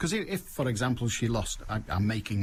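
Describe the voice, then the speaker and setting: A man speaks at a medium pitch with a Mancunian accent, his voice somewhat breathy. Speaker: radio phone-in host. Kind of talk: radio phone-in chat. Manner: brisk, pushing callers along.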